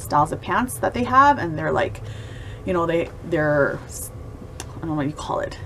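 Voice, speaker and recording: At a moderate pace, a woman talks over light background noise. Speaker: fashion vlogger. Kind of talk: casual vlog chat. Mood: upbeat and enthusiastic. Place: home room. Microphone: phone near.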